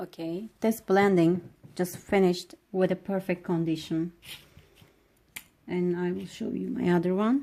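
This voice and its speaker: A woman with a non-native accent talks at a fairly slow pace in a fairly low, dark, mellow voice, with fairly even intonation and long, frequent pauses. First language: not English. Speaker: nail technician. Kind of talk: tutorial. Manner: hesitant, frequent fillers.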